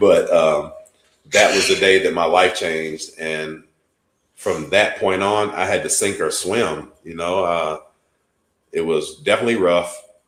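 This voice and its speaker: Audible room echo surrounds a man who speaks at a fairly slow pace with long, frequent pauses. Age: 40s. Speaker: podcast co-host with epilepsy. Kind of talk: personal testimony in casual podcast chat. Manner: animated.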